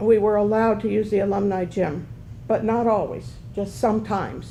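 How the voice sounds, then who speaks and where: A woman speaks at a moderate pace. Room echo is audible around her voice. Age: 70s. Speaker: panelist, former college athlete. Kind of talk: panel discussion.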